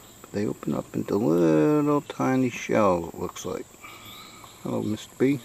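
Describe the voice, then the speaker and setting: Over noticeable background noise, a man with an American accent and a fairly low pitch talks at a moderate pace, his pitch swinging very widely. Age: 60s. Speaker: outdoors video show host. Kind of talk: casual nature vlog narration.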